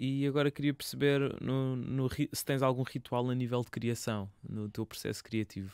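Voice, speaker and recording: A man speaks in a plain, everyday voice at a medium pitch, with fairly even intonation and hardly any pauses. The sound is dry and close, with no echo. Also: moderate pace. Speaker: radio interviewer host. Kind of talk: casual interview. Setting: radio studio.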